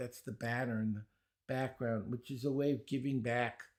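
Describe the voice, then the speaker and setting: A man with a Brooklyn accent at a moderate pace. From New York, Brooklyn. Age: 70s. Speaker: speed reading teacher. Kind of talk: podcast interview.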